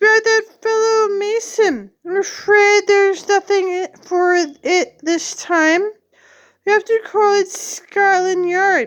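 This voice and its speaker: Using a put-on character voice, a woman speaks fairly slowly at an extremely high pitch. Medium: read story. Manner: rambling, oblivious.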